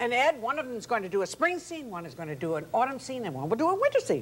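Upbeat and enthusiastic, a woman speaks at a very fast pace in a high pitch, with very wide pitch swings and big swings in loudness over light background noise. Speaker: art teacher. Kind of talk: infomercial talk show guest demo. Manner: upbeat, enthusiastic. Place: studio.

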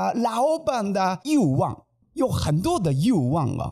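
The background is quiet. A man speaks very slowly with very wide pitch swings. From Japan. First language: Japanese (speaking Chinese). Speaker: manzai comedian, podcast co-host. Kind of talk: casual chat. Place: studio. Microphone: studio mic.

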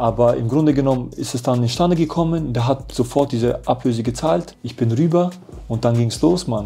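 With faint music in the background, a man speaks at a fairly quick pace and ordinary pitch variation. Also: medium pitch for a man. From Germany. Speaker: professional footballer; interview guest. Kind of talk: casual interview chat. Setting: hotel. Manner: animated. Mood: lively storytelling, animated. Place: home room.

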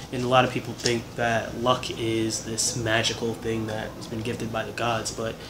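At a moderate pace, a man with a medium pitch talks over noticeable background noise. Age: 20s. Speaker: actor and independent filmmaker. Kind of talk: casual interview.

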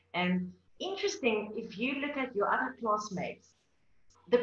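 With audible room echo, a woman speaks at a moderate pace with ordinary pitch variation. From South Africa. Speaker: wine journalist and panel moderator; wine journalist, panel moderator. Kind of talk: moderated panel discussion. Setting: video call. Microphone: webcam.

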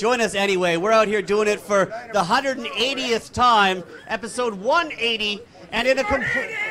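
Over noticeable background noise, a man with a high pitch uses a raised, projected voice, ordinary pitch variation and a fairly slow pace. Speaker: show host. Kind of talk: live show hosting. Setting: outdoor patio with live audience. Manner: casual.

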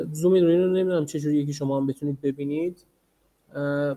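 This man talks very fast in a fairly high voice. His pitch varies in an ordinary way. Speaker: teaching assistant. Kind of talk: lecture. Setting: video call.

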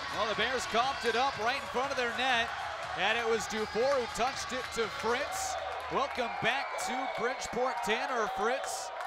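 Loud background noise runs under speech delivered at a moderate pace, the sound dry with no echo. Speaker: hockey play-by-play announcer. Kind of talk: live play-by-play hockey commentary. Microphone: headset.

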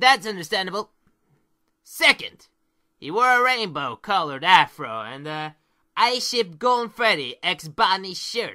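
At a middle pitch and a moderate pace, the speaker uses a put-on character voice in a very clean recording with a silent background. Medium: audio drama. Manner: upbeat, playful.

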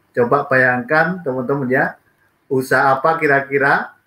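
A man at medium pitch speaks in a bright, sharp tone with fairly even intonation. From East Java, Indonesia. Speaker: network marketing leader; guest. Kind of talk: business presentation. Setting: video call from Japan.

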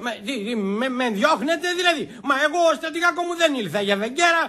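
This is a put-on character voice with lively intonation. The tone is bright and sharp. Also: man, extremely high pitch for a man.

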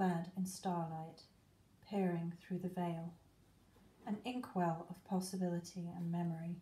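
A woman speaks very slowly in a somewhat breathy, fairly low voice. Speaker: witch. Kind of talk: spoken word ritual.

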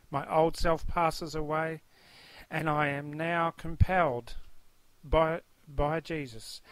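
A man's fairly high, monotone, flat voice at a very slow pace with long, frequent pauses and a dry sound with no echo. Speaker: testimony speaker. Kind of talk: fervent testimony mixed with reading commentary aloud. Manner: earnest, fervent, devout; somewhat halting, with fillers. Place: home room. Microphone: webcam.

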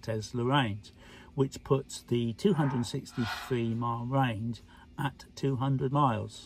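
A somewhat breathy man speaks at a fairly slow pace in a dry recording with no echo and light background noise. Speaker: car owner vlogger. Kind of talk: casual vlog chat. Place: car. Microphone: phone near.

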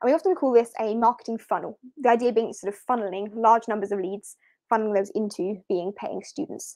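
A woman with a fairly high pitch and a dark, mellow tone talks at a fairly quick pace, with ordinary pitch variation and big swings in loudness. The sound is dry with no echo, and the background is quiet. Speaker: online teacher and marketing coach; online teacher, marketing coach. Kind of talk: live webinar. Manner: casual, conversational. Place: home room. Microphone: webcam.

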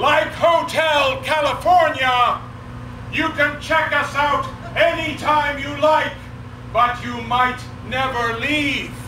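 Projecting his voice in a flat monotone, a man speaks very slowly at an extremely high pitch, with audible room echo and light background noise. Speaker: town crier. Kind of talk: town crier proclamation at a championship competition. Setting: outdoors at a festival. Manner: loud, formal, ceremonial delivery with pauses. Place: stage. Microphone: camera far.

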